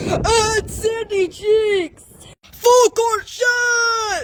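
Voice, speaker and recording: A cartoonish character voice, extremely high in pitch, at a very slow pace. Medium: puppet. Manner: excitable, energetic.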